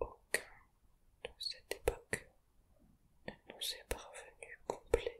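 Whispering with big swings in loudness, a man speaks with long, frequent pauses. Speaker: hobbyist tarot learner and ASMR creator. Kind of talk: ASMR whispered tarot explainer. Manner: whispered, relaxing.

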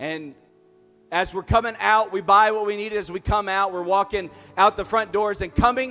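A man's high-pitched, raised and projected voice, with faint music in the background. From US South. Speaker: preacher. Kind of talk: sermon. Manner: animated. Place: stage. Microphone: handheld.

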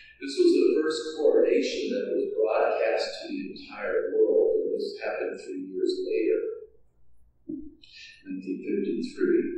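A man talks at a very slow pace. Strong echo fills the room around him. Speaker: priest. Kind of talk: sermon. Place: church.

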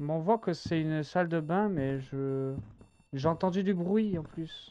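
The intonation is lively. Light background noise can be heard. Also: man. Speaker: game streamer. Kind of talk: casual gaming commentary.

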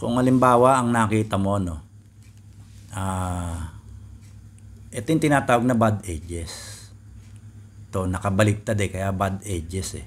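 A man's fairly low, somewhat breathy voice at a fairly slow pace, with ordinary pitch variation and long, frequent pauses. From Philippines. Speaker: Rubik's cube tutorial youtuber. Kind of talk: tutorial. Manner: casual, halting with fillers. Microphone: phone near.

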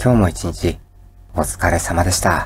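Calm, very deep, low male voice at a fairly slow pace. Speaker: educational YouTuber. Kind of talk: sleep-inducing educational lecture. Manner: calm, soft-spoken.

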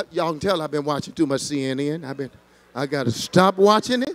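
This man has a fairly high pitch and talks at a fairly quick pace. His loudness swings widely. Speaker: senior pastor teaching Bible study. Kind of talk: Bible study teaching. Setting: church with congregation. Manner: passionate, preacher-like. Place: church. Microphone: handheld.

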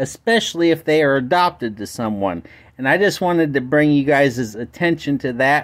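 Against a quiet background, someone talks at a moderate pace. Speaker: caller. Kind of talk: phone call complaint. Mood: calm, polite. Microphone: phone near.

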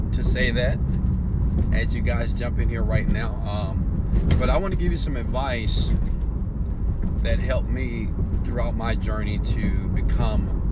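Over loud background noise, a man talks at a fairly slow pace with long, frequent pauses, in a dry sound with no echo. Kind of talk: motivational live stream talk. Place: car. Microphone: earbuds.

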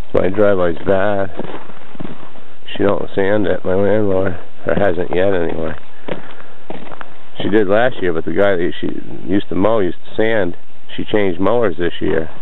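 A man's fairly low-pitched voice at a moderate pace, with fairly even intonation, very even loudness and long, frequent pauses, in a dry sound with no echo over light background noise. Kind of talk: casual vlog chat. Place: open country. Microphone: phone near.

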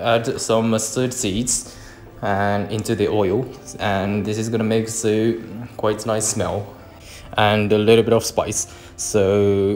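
A man speaks at a fairly slow pace in a flat monotone. The room echo is audible, with light background noise. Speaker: cooking narrator. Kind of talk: tutorial.

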